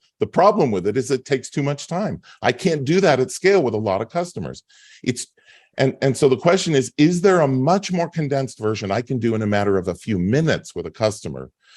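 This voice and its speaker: Talking at a very fast pace, a man with a medium pitch uses very wide pitch swings and vocal fry, in a dry, close sound with no echo and a quiet background. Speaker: customer retention expert. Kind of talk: webinar presentation. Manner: repetitive stammering restarts.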